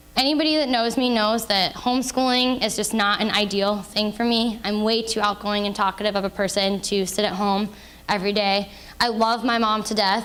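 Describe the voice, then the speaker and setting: An unremarkable speaking voice with an American accent moves at a moderate pace, with very even loudness and fairly even intonation. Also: woman, fairly high pitch for a woman. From Indiana, US. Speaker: author and HIV awareness speaker. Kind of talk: public talk to an audience.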